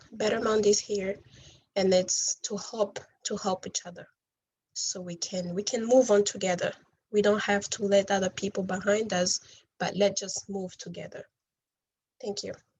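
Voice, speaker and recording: A woman with a non-native accent speaks at medium pitch and a moderate pace, somewhat breathy and monotone, with long, frequent pauses. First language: not English. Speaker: refugee speaker. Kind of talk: motivational talk.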